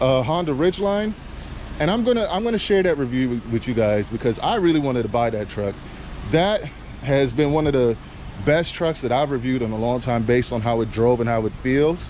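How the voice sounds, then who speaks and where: At a fairly quick pace, a man speaks with very wide pitch swings over noticeable background noise. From Trinidad and Tobago. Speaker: car reviewer. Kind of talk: casual video review. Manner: animated.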